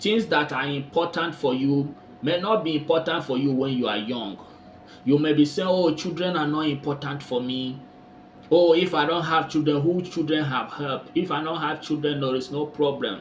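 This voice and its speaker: A man speaks in a normal speaking voice at a moderate pace, with a fairly high pitch and ordinary pitch variation. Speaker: commentary vlogger. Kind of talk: casual talk to camera.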